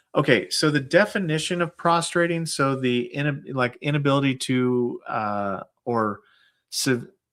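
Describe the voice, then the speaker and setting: An ordinary speaking voice moves at a fairly slow pace with ordinary pitch variation, captured in a very clean recording against a silent background. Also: man, fairly high pitch for a man. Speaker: YouTube host answering veteran benefit questions. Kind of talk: casual live stream Q&A.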